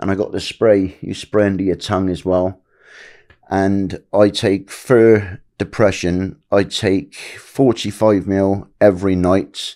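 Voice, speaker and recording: The man's voice is fairly low in pitch, with a dark, mellow tone and fairly even intonation. He speaks at a very slow pace against a quiet background. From England. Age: 50s. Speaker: abuse survivor; podcast guest. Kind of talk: testimony; interview answer. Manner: halting. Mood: earnest, personal, somber. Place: home room. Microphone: studio mic.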